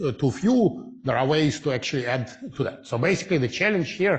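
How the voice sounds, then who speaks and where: With lively intonation and a somewhat breathy voice, a man speaks at a moderate pace against a quiet background. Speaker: physics lecturer. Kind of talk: lecture. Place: hall.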